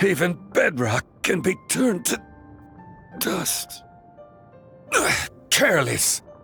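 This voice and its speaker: A man uses a put-on character voice at a high pitch and a very slow pace, with clear music in the background. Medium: fan dub. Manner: authoritative, steady.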